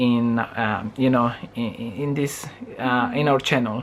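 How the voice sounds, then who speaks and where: Noticeable background noise beneath a man's fairly even, medium-pitched voice. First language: Spanish. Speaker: vlogger. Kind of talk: casual chat. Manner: halting.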